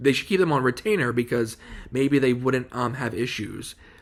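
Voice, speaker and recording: A medium-pitched man at a fairly quick pace. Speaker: YouTube drama commentator. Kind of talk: casual vlog monologue. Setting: at home, washer audible. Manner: halting, many fillers.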